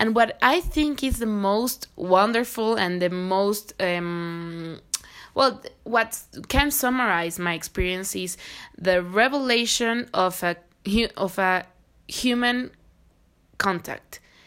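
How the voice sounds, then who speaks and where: On a very clean recording with a silent background, a woman with a Spanish accent speaks very slowly at a medium pitch with lively intonation. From Mexico, Querétaro. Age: 20s. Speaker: visual artist. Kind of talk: casual chat.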